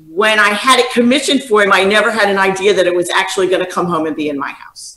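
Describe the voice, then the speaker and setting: A woman amid audible room echo. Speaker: guest. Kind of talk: interview answer. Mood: amused storytelling. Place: home room. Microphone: video call.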